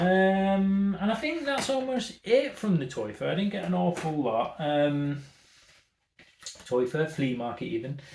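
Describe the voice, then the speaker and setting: A man with a Manchester accent, fairly high in pitch with very wide swings, at a fairly slow pace, with audible room echo. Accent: Manchester northern. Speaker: retro games YouTuber. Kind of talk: casual haul vlog chat. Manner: animated.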